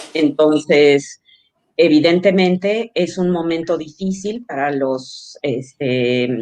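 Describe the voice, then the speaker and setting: At a very slow pace, a woman speaks in a fairly low voice with ordinary pitch variation. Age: 60s. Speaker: social entrepreneur, childcare company cofounder. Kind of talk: interview.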